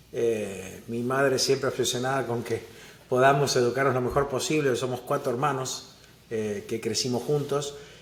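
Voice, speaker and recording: Against noticeable background noise and audible room echo, a man with an Argentine accent talks at a moderate pace in a medium pitch with fairly even intonation. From Argentina, Buenos Aires. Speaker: venture capital investor. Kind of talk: interview.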